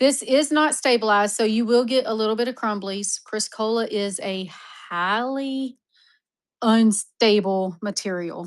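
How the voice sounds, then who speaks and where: With an American accent, a woman speaks at a moderate pace in a fairly high pitch with ordinary pitch variation and a normal speaking voice. The background is quiet. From Texas. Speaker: online mineral seller. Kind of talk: live-stream auction. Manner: casual, chatty.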